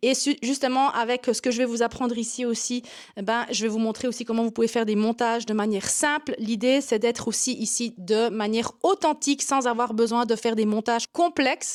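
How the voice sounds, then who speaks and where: A woman with a Swiss German accent, fairly high pitch, fairly even intonation and a fairly quick pace with hardly any pauses, on a very clean recording with a silent background. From Swiss German Switzerland. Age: 40s. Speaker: yoga teacher and online marketing coach. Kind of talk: vlog to camera. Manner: hesitant with frequent 'euh' fillers.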